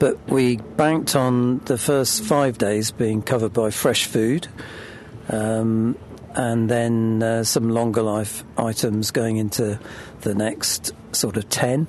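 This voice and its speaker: Over noticeable background noise, a man with a British accent speaks at a very slow pace, keeping his intonation fairly even and his loudness very even. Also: medium pitch for a man. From Britain. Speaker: boat owner and crew member. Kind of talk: casual interview.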